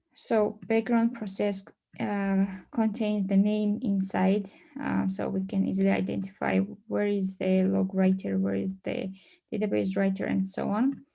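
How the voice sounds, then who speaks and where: A female voice moves along at a fairly slow pace. Behind it, all is quiet. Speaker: conference presenter on databases; conference presenter. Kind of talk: technical presentation. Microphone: video call.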